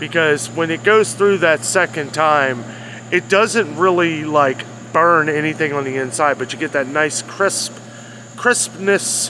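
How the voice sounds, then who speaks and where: A fairly slow delivery with ordinary pitch variation, dry and echo-free, over noticeable background noise. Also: man. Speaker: food vlogger. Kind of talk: casual food review vlog. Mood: enthusiastic, relaxed. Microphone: phone near.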